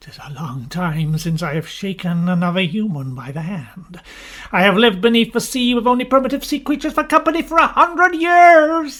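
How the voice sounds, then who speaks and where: In a put-on character voice, the speaker goes fairly quickly, with very wide pitch swings and big swings in loudness. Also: man, high pitch for a man. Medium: audio drama. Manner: pompous, boastful.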